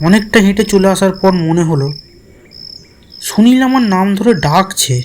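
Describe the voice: At a fairly slow pace, a man with a high pitch and a slightly mellow tone speaks with ordinary pitch variation.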